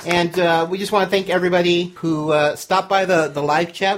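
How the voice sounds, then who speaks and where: Noticeable background noise sits behind a high-pitched man. He speaks at a moderate pace in a monotone, flat way. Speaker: podcast host. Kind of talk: casual chat. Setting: live party at home studio.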